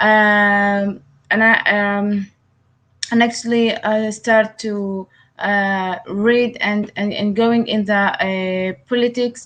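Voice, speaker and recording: A woman's medium-pitched voice in an Arabic accent, monotone and flat, at a very slow pace. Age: 20s. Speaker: writer and activist. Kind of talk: interview. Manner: halting, many hesitations.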